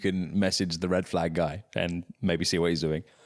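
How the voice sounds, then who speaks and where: An animated man's voice at a fairly slow pace. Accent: English. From England. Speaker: podcast host. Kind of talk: casual chat.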